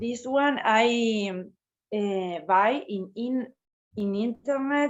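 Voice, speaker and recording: Speaking in a Spanish accent, a woman with a fairly high pitch and ordinary pitch variation goes at a very slow pace. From Argentina. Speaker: teacher and puppeteer. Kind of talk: casual chat. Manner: halting.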